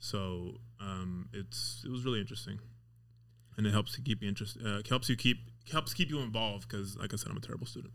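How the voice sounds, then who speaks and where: With vocal fry and very wide pitch swings, a man talks fairly quickly in a fairly low pitch. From Las Vegas, US. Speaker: auto mechanic. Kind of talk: casual chat.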